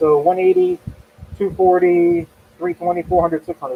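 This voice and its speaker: Noticeable background noise sits beneath talking at a fairly quick pace. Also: man. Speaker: woodturner. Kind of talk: live tutorial. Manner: casual.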